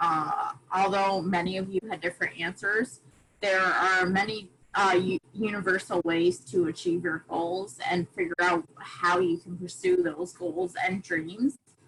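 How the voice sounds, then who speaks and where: With an American accent and a plain, everyday voice, a woman speaks at a medium pitch and fairly slow pace, her intonation fairly even. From USA. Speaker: volunteer speaker. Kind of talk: online presentation to students. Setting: video call.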